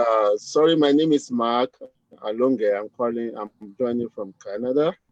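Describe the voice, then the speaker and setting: Speaking at a fairly slow pace, a man with a Nigerian accent uses a medium pitch, the sound dry and close with no echo. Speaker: chartered accountant, community leader. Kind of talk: panel discussion.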